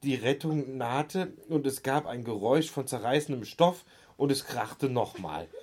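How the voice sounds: Natural reading voice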